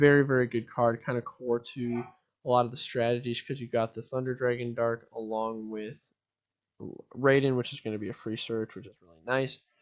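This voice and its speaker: A man at a medium pitch and fairly quick pace, with monotone, flat intonation. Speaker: gaming content creator. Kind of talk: tutorial. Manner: casual, filler-heavy.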